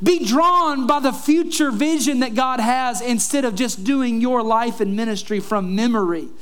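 In an animated tone, the speaker keeps a moderate pace with hardly any pauses and ordinary pitch variation over noticeable background noise. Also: man, extremely high pitch for a man. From Kentucky. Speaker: pastor. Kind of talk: sermon. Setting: church.

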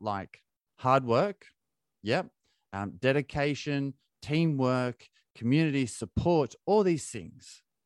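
Lively intonation at a very slow pace with an Australian accent, dry and close with no echo against a quiet background. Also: man. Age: 30s. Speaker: ultra-endurance athlete. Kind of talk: casual chat.

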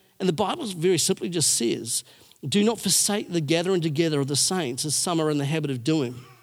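A man talks at a fairly quick pace with ordinary pitch variation. He has a plain, everyday voice. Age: 40s. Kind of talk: sermon. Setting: church. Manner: casual, conversational.

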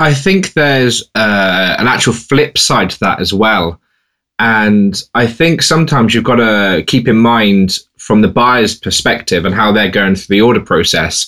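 In a normal speaking voice, a man talks at a fairly slow pace with ordinary pitch variation. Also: medium pitch for a man. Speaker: podcast co-host and freelance seller. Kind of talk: casual podcast chat.

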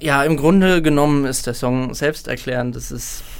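A man speaks at a moderate pace in a medium pitch, his intonation fairly even, with audible room echo. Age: 20s. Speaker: singer-songwriter and student. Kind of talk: casual interview. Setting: studio.

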